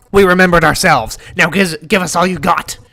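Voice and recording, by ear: Putting on a character voice, a man speaks high-pitched at a fairly quick pace.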